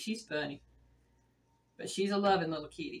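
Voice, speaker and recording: Fairly quick speech from a woman. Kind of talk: casual cooking vlog chat. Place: kitchen. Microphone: camera far.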